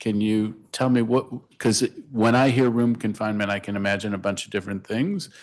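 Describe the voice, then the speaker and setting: This is an ordinary speaking voice from a man, fairly low in pitch. His intonation is fairly even against a quiet background. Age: 60s. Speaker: council member at hearing. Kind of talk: oversight hearing questioning. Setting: council hearing room.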